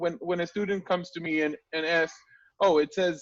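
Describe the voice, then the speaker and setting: A man speaks with an Israeli accent. His pitch is high. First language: Hebrew. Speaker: Hebrew teacher and interviewer. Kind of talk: interview.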